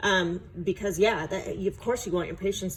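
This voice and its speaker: A woman's somewhat breathy voice at medium pitch and a moderate pace. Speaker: clinical nurse educator. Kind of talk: feedback on student presentation. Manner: casual, hesitant with many fillers.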